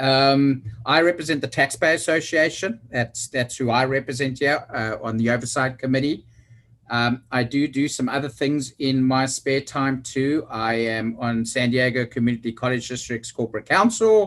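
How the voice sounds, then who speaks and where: At a moderate pace, a man with a South African accent talks at a medium pitch with ordinary pitch variation. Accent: South African, remarked on by self. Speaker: oversight committee member, construction executive. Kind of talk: meeting self-introduction.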